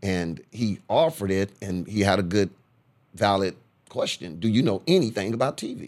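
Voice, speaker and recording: A man with an American accent uses a plain, everyday voice at a fairly low pitch and moderate pace, with ordinary pitch variation, on a very clean recording with a silent background. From Corpus Christi, Texas. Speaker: radio DJ and TV host. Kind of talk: casual interview.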